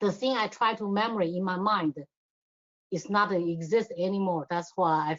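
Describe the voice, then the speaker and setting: At a moderate pace, a woman with a non-native accent speaks at medium pitch. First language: not English. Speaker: adult learner, award-winning writer. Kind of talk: interview. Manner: halting.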